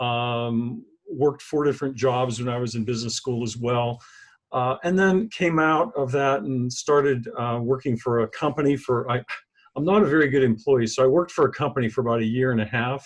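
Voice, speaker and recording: A man with an American accent speaks at a fairly quick pace in a plain, everyday voice, with medium pitch and ordinary pitch variation. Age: 60s. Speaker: author and business leadership consultant. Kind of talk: interview. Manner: casual, with frequent fillers and restarts.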